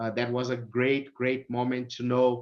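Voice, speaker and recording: A man with a Brazilian accent speaks at a medium pitch. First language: Portuguese. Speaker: automotive technical services manager. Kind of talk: interview.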